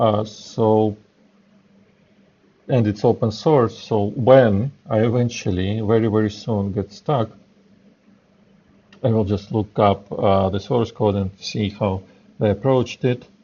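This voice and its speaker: Speaking with a non-native accent, a man talks at a very slow pace and fairly low pitch, with long, frequent pauses. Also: fairly even intonation. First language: not English. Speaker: software developer. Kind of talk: live coding tutorial. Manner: halting, many fillers.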